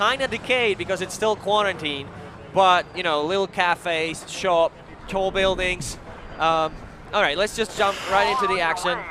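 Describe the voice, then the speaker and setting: Over noticeable background noise, a man with a non-native accent raises and projects his high-pitched voice. His pace is moderate. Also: ordinary pitch variation. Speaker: video game designer. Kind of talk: live demo interview. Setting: live stage at a trade show.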